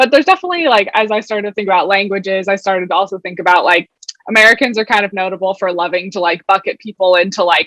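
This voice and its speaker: With a West Coast US accent, a woman talks at a very fast pace and medium pitch, with ordinary pitch variation and a dry, close sound with no echo. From Oregon, US. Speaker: product executive. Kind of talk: panel discussion.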